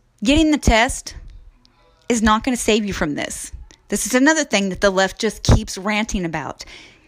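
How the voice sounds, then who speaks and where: With music in the background, a woman with an American accent talks at a moderate pace and fairly high pitch, using lively intonation. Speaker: podcast host. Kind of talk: angry political rant, solo monologue. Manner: indignant, sarcastic, scornful, blunt; loud, hard-hitting, lecturing the audience.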